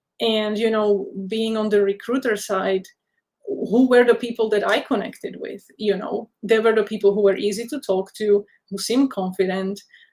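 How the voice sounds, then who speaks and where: A woman speaks with a non-native accent at a moderate pace. Her fairly high pitch stays monotone and flat. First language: not English. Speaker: career counsellor. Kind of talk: webinar talk.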